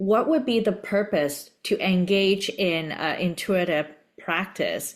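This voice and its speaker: A woman with a Cantonese accent speaks at a very slow pace and medium pitch, with lively intonation and very even loudness. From Hong Kong. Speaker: podcast host. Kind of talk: interview conversation.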